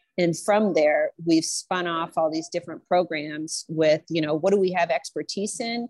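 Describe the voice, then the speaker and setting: Fairly low-pitched woman with an American accent, a plain, everyday voice at a moderate pace with fairly even intonation and hardly any pauses, in a dry, close sound with no echo and a very clean recording with a silent background. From Nebraska. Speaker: infection preventionist. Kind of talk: panel discussion.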